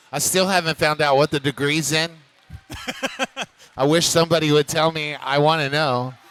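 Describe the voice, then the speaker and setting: With an American accent, a man speaks at a moderate pace in a flat monotone at a fairly high pitch, leaving long, frequent pauses, and the sound is dry and close with no echo. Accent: Texas accent, noted by chat. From Texas. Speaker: roller derby commentator. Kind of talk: live commentary.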